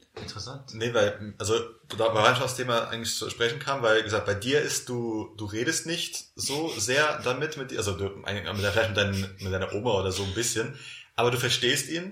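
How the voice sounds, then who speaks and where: With noticeable background noise behind him, a man speaks at a moderate pace with a medium pitch and ordinary pitch variation. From Palatinate, Germany. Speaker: podcast host and editor. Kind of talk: casual chat.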